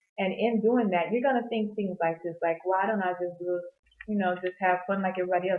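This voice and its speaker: This woman's voice sits fairly low in pitch. She speaks at a fairly quick pace with fairly even intonation. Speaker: Bible devotional vlogger. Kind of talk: unscripted Bible reflection. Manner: fast; casual, off-the-cuff.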